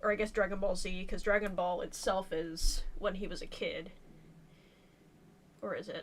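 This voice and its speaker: A quiet woman at a moderate pace, with long, frequent pauses. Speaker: artist streaming a drawing session. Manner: halting, self-correcting.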